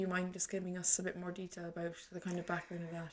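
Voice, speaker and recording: A woman talks at a very fast pace with a fairly low pitch. Her tone is bright and sharp, and her intonation is monotone and flat. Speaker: podcast host. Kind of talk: casual interview chat.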